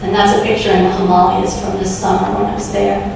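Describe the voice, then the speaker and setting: A woman's speech comes through noticeable background noise with audible room echo. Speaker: professor. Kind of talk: lecture.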